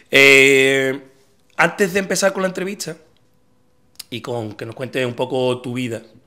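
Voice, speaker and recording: A man's bright, sharp voice at a very slow pace, with ordinary pitch variation against a quiet background. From Andalusia, La Línea (Cádiz); Andalusia. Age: 40s. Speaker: podcast host. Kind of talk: casual interview; sponsor mention. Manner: hesitant, many fillers. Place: home room. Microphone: studio mic.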